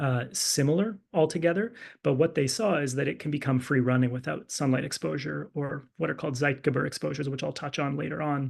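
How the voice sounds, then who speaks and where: This man talks at a fairly quick pace with hardly any pauses, his fairly high voice carrying some vocal fry. His pitch moves by an ordinary amount, and the background is quiet. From English-speaking Canada. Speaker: physician and clinical fellow presenting research. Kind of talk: lecture.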